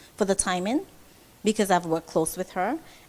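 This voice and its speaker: A woman speaks in a Kittitian accent. Her pitch sits in the medium range. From St Kitts. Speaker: fashion designer. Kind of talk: interview.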